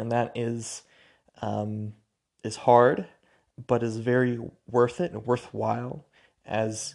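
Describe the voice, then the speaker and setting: Fairly even intonation in an American accent comes through on a very clean recording with a silent background. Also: man. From US Pacific Northwest, Spokane, Washington. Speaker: podcast host. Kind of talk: solo monologue podcast. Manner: halting, with many fillers and restarts.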